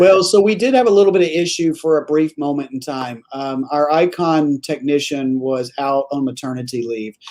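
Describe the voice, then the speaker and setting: Over noticeable background noise, a man talks at a moderate pace in a fairly high pitch with ordinary pitch variation and hardly any pauses. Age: 70s. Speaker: anti-aging clinic doctor. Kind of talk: live show discussion.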